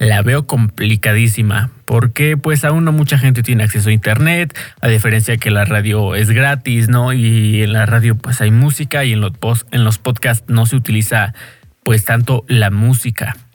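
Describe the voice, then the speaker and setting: A man talks in a somewhat breathy voice with fairly even intonation. His loudness stays very even. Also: medium pitch for a man, moderate pace. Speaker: podcaster and DJ. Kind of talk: casual monologue. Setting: home bedroom. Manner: halting.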